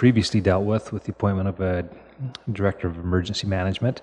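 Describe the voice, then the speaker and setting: The man speaks with fairly even intonation. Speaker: municipal administrator presenting to council. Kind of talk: formal meeting report. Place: meeting room.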